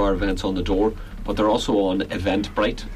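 Noticeable background noise and audible room echo around speech at a very fast pace. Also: man. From Northern Ireland, Belfast. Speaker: folk musician. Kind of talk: casual radio interview. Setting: radio studio.

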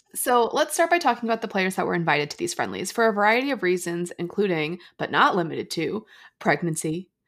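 A woman with a plain, everyday voice and an American accent, lively intonation and a fairly quick pace, on a very clean recording with a silent background. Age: 30s. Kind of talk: casual chat.

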